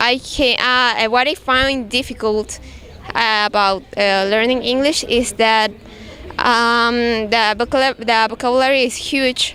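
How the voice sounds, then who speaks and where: A woman with a Spanish accent speaks very slowly at a fairly high pitch, in a flat monotone with very even loudness. Noticeable background noise runs under her voice. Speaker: English language student. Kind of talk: class presentation. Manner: halting, many restarts.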